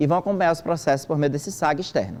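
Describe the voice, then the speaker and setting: Very fast, a man rattles on at a fairly high pitch with ordinary pitch variation. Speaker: government agency trainer presenting a system. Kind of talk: training presentation.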